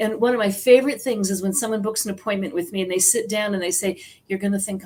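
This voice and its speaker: This woman has an American accent, a somewhat breathy medium-pitched voice, and a fairly quick pace. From US Midwest, South Dakota. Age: 60s. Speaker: psychic medium and author. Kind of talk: interview.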